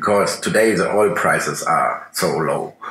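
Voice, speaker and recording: A man speaking at a fairly slow pace amid noticeable background noise. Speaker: interviewer. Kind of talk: interview.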